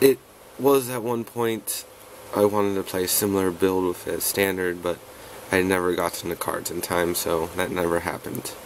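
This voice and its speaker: A man with a very deep, low voice and ordinary pitch variation is heard against noticeable background noise. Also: moderate pace. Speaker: card game deck reviewer. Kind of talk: tutorial. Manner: casual, rambling. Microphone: poor recording setup.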